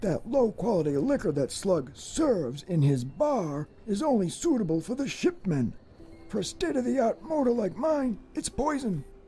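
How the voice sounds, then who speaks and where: With clear music in the background, a put-on character voice at a fairly high pitch moves at a moderate pace through very wide pitch swings. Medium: video game. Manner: resigned, grumbling, repeats the same catchphrase.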